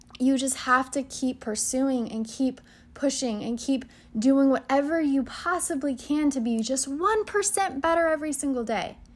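This woman speaks at a fairly slow pace with a high pitch. Her tone is animated, and her pitch varies in an ordinary way. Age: 20s. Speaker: motivational podcast host. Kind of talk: personal monologue, motivational.

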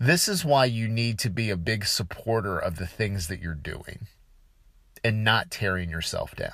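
A man speaks in a plain, everyday voice at a fairly slow pace. His pitch is fairly low, with lively intonation. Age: 30s. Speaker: podcast host. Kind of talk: solo podcast monologue. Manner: casual, with filler words.

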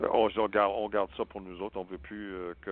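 In a plain, everyday voice, a man talks at a fairly slow pace, his fairly low pitch held to a fairly even intonation. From Saskatchewan, Canada (French-Canadian family). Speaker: spiritual healer. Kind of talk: interview.

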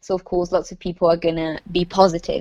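Speaking with an Italian accent, a woman keeps a fairly quick pace and fairly even intonation. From northern Italy, Lombardy. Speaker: university student. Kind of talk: casual chat.

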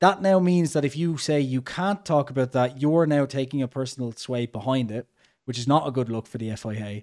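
A man with an Irish accent talks at a fairly quick pace. His pitch varies in an ordinary way. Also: medium pitch for a man. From Ireland. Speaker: podcast host. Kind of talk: casual podcast chat. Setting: video call, host abroad in Mexico.

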